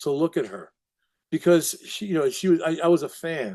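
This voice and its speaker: A man with a New York accent speaks at a high pitch in a dark, mellow tone, with ordinary pitch variation. His moderate pace comes through a dry, close sound with no echo. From Brooklyn, New York. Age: 70s. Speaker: recovery counselor and documentary subject. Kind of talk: interview conversation. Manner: halting, many repetitions.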